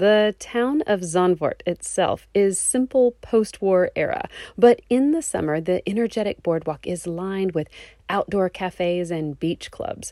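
Speaking fairly slowly in a Texan accent, a woman of medium pitch uses lively intonation, the sound dry and close with no echo. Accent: Texan American. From Texas. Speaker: travel podcast host. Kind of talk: scripted narration.

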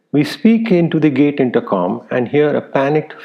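Speaking at a moderate pace, a man with a medium pitch lets vocal fry creep into his voice.

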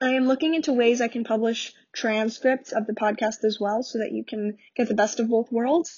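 Hardly any pauses break this woman's speech, delivered with a New York accent. Her pitch is fairly high and her intonation fairly even. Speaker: podcast host. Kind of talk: casual solo podcast talk. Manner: fast.

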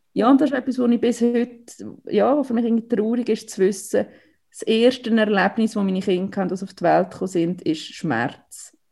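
A woman with a Swiss accent speaks at a moderate pace in a fairly high pitch, her dark, mellow tone carrying ordinary pitch variation. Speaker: mother of premature twins. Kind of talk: personal testimony.

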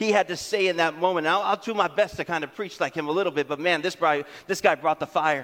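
A man speaks at a high pitch in an animated tone. His pace is fairly quick, with ordinary pitch variation. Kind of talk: sermon, preacher in full flow. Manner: animated, rhythmic, call-and-response; building short punchy repetitions to a climax.

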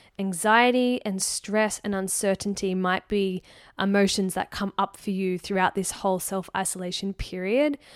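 A woman with an ordinary speaking voice and medium pitch talks with fairly even intonation in a dry, close, echo-free recording that is very clean with a silent background. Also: moderate pace. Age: 30s. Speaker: podcast host, eating psychology coach. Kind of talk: casual solo monologue.

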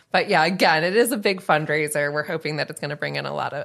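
With an American accent, a woman talks in a very deep, low pitch with vocal fry and ordinary pitch variation. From Northern California. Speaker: nonprofit executive director. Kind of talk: casual chat.

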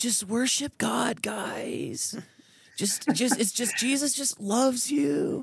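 A raspy, put-on character voice, fairly high in pitch, at a very slow pace. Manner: soft, gentle, saccharine.

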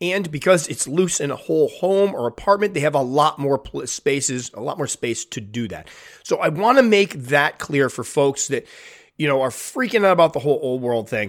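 A man speaks with fairly high pitch and lively intonation. The recording is very clean, with a silent background. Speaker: tarantula hobbyist YouTuber. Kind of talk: casual chat. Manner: fast talker; casual, chatty.

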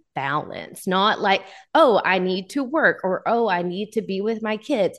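Moderate pace with a Texas accent. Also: woman, quiet background. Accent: Southern US (Texas). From US South, Texarkana, Texas. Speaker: photographer and educator. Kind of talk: interview.

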